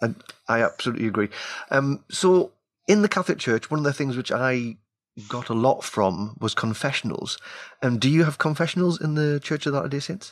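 Despite long, frequent pauses, a man with a Geordie accent and a fairly high pitch talks at a fairly quick pace. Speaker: show host, interviewer.

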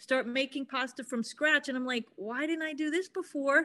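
Against a quiet background, a woman raises and projects her high-pitched voice, with ordinary pitch variation. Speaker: cooking show contestant. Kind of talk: casual chat.

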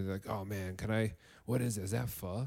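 Heard on a very clean recording with a silent background, a normal speaking voice with an American accent shows ordinary pitch variation. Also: man. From northern Illinois. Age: 30s. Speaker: podcast host and teacher. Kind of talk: casual chat. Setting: living room by a fireplace.

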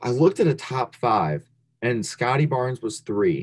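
A man speaks at medium pitch and a moderate pace, with vocal fry. His pitch swings very widely. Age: 20s. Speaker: sports card podcast co-host. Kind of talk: casual chat.

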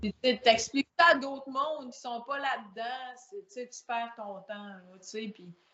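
A woman's high voice at a very slow pace, with ordinary pitch variation and big swings in loudness. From Quebec, Saguenay (La Baie). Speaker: powerlifter. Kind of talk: casual chat.

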